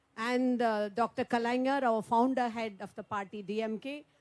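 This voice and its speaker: With a Tamil Nadu accent, a woman talks at a fairly quick pace with ordinary pitch variation in a very clean recording with a silent background. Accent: Tamil Indian English. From Tamil Nadu, India. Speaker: politician. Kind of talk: panel speech. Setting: round-table meeting.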